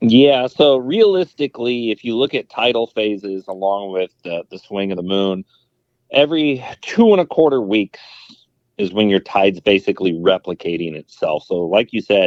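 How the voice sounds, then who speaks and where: With an American accent, a man talks at a moderate pace using lively intonation. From California, San Francisco Bay Area. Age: 40s. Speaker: fishing youtuber. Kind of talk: podcast interview.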